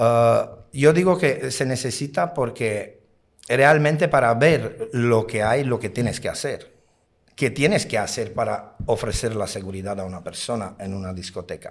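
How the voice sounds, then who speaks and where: Speaking at a fairly slow pace, a man uses lively intonation at a medium pitch. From outside Spain. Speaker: nightclub bouncer. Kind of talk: interview. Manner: halting.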